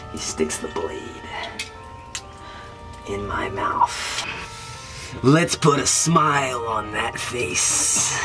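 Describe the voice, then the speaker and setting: At a very slow pace, a woman performs a put-on character voice over loud music in the background. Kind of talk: dramatic monologue. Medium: stage. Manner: taunting, menacing.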